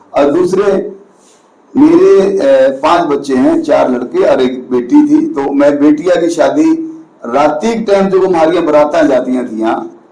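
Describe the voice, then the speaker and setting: A man's voice carries audible room echo alongside noticeable background noise. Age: 60s. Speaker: community activist. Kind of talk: interview. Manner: halting, with fillers.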